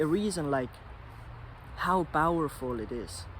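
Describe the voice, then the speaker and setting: A man's voice at a fairly slow pace, with very wide pitch swings. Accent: non-native. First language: not English. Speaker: vlogger. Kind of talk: casual monologue vlog. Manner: halting, self-correcting.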